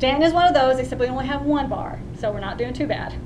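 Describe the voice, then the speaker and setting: There is noticeable background noise and audible room echo. A woman talks with a Texan accent. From West Texas (Odessa). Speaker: student. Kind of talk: class speech.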